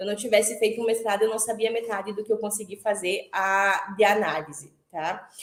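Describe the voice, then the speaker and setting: Speaking at a moderate pace, a woman with a normal speaking voice sits at a fairly high pitch. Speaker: former master's student, accountant and lecturer. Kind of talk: online panel talk.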